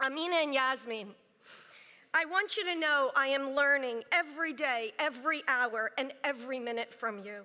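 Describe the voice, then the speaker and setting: A woman with a high pitch speaks in a raised, projected voice with a bright, sharp tone and ordinary pitch variation. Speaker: bar association chancellor. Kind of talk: formal speech. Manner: loud.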